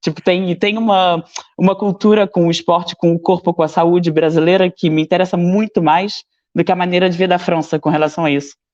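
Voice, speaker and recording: A man speaks at a high pitch and a fairly quick pace with very even loudness. The sound is dry and close with no echo, over a quiet background. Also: fairly even intonation. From Brazil. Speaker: fitness student. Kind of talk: casual chat.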